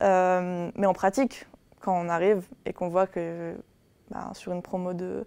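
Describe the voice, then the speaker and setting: The speaker delivers monotone, flat intonation at a fairly slow pace with long, frequent pauses against a quiet background. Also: woman, medium pitch for a woman. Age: 20s. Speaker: university student. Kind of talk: interview. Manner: hesitant, many fillers.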